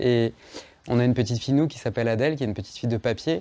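A man talks with ordinary pitch variation. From Savoie, France (Chambéry). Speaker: comics author and illustrator. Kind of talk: interview.

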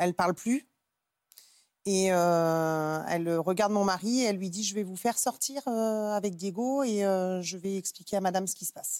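Here is an ordinary speaking voice at a moderate pace. The pitch varies in an ordinary way. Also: woman, medium pitch for a woman. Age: 30s. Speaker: mother sharing difficult pregnancy. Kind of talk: testimony.

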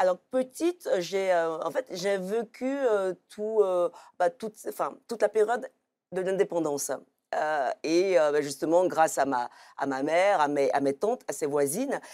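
A woman with a dark, mellow tone speaks at a medium pitch and a fairly slow pace with lively intonation, in a very clean recording with a silent background and a dry, close sound with no echo. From Ivory Coast. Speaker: comic book author. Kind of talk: televised book talk. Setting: TV studio. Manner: halting, many repetitions.

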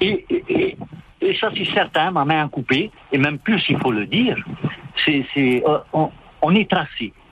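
The speaker talks at a fairly slow pace with long, frequent pauses over noticeable background noise. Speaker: caller. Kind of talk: phone-in comment. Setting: phone call. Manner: halting. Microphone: cutting out when phone moves.

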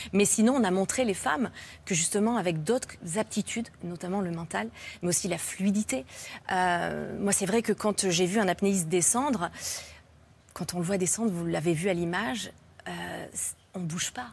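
On a very clean recording with a silent background, a woman speaks at a medium pitch and a moderate pace with lively intonation and long, frequent pauses. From France. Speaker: freediver, athlete. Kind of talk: talk show interview. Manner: halting.

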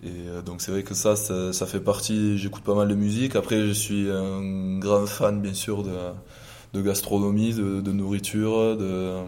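With music in the background and audible room echo, a man speaks fairly slowly at a fairly low pitch with monotone, flat intonation. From southwest France, Gers. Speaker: professional rugby player. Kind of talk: interview. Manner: halting, many fillers and repetitions.

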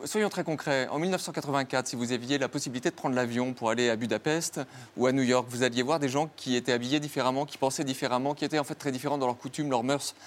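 This man speaks very fast at a medium pitch, with fairly even intonation. The recording is very clean, with a silent background. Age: 40s. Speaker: philosopher and author. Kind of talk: interview.

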